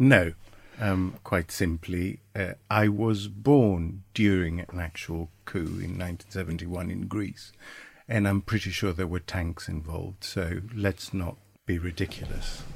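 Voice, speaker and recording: A man speaks at a fairly slow pace in a very deep, low pitch, somewhat breathy, with fairly even intonation. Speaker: podcast co-host. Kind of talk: casual political discussion. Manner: informal, sweary.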